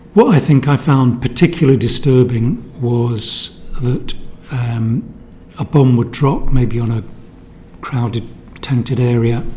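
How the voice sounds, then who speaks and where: Against noticeable background noise, a man speaks fairly slowly in a medium pitch with fairly even intonation and long, frequent pauses. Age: 60s. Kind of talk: testimony. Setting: parliamentary committee hearing. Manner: halting.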